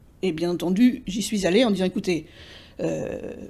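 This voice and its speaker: A woman with medium pitch speaks in a dark, mellow tone that is somewhat breathy. Her pace is fairly slow and her intonation lively. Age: 60s. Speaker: retired English teacher and literary interpreter. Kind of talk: interview monologue. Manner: hesitant, many fillers and repetitions.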